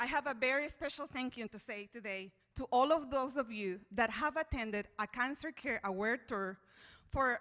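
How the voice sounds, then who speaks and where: In a bright, sharp tone, a woman speaks at a high pitch and a moderate pace with ordinary pitch variation. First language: Spanish. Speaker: charity board member. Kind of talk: event speech.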